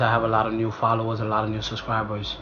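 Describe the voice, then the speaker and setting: Audible room echo and noticeable background noise surround this recording. A man speaks at medium pitch and a moderate pace. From Ivory Coast. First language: French. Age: 20s. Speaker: vlogger. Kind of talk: casual storytime vlog. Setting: talking to camera. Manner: casual, conversational with fillers.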